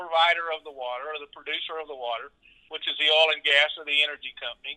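A man with a Texan accent talks at a very fast pace in a fairly high pitch. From South Texas (Edinburg). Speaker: agriculture company co-owner, former rodeo clown. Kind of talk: interview.

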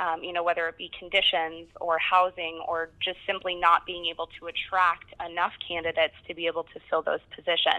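Hardly pausing, a woman talks at a fairly quick pace with a fairly low pitch and monotone, flat intonation, her loudness swinging widely. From Colorado. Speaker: recruiter at a staffing agency. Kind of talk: interview.

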